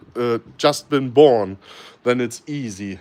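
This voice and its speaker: A man with a German accent and medium pitch speaks at a fairly slow pace. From Germany. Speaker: snake breeder. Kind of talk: live stream Q&A. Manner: hesitant, many fillers.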